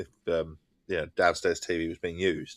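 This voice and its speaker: A man speaks in an Essex accent. The sound is dry and close, without echo. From England. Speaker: gaming streamer. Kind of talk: casual chat. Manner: halting.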